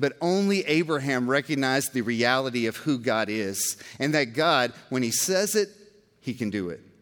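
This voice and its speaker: A man talks with an ordinary speaking voice at a fairly high pitch. His intonation is lively, and his pace is moderate. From Georgia, US. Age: 40s. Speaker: pastor. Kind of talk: sermon.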